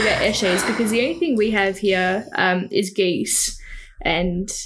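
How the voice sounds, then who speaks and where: Over noticeable background noise, a woman with an Australian accent speaks at very even loudness. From Victoria, Australia (Riddells Creek, near Macedon). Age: 20s. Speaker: photographer. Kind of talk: casual chat. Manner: animated, laughing often.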